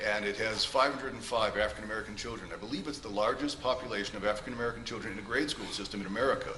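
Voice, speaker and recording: Through audible room echo and noticeable background noise, a man talks at a very fast pace. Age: 60s. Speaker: character witness, music director. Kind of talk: courtroom testimony. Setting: courtroom.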